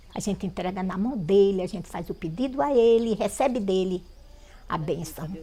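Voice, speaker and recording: A woman's dark, mellow, somewhat breathy voice at a medium pitch, with ordinary pitch variation and a moderate pace. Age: 70s. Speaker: folk prayer healer. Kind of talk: documentary interview, testimony.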